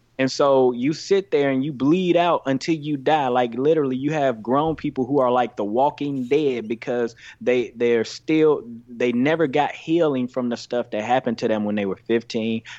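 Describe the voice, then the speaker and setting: In an American accent, a man talks at a moderate pace with hardly any pauses, using a plain, everyday voice at medium pitch and ordinary pitch variation. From US South, Greenville, Mississippi. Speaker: youth pastor. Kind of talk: casual chat.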